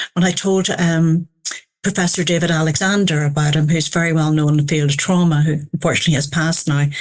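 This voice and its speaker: A woman in a Northern Irish accent, fairly low-pitched and fairly even in intonation, at a moderate pace. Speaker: family therapist. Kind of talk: interview conversation.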